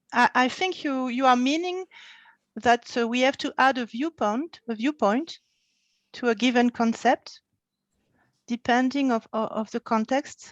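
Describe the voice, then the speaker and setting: Speaking with a French accent, a woman with a high voice goes at a fairly slow pace with long, frequent pauses, in a dry, close sound with no echo over a quiet background. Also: ordinary pitch variation. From France. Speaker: meeting participant. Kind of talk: audience question. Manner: halting.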